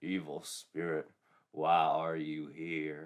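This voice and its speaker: In a put-on character voice, a man talks at a very slow pace with a very deep, low pitch. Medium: read story.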